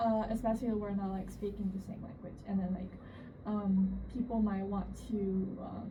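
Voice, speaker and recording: A woman at medium pitch in a Chinese accent, monotone and flat, moderate in pace, with noticeable background noise and audible room echo. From China. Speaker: international student. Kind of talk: interview. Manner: halting, many fillers.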